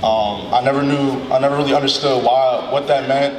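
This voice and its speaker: With noticeable background noise, a man talks at a moderate pace in a monotone, flat intonation. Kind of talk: emotional ceremony speech. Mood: heartfelt, emotional. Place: hall. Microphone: handheld.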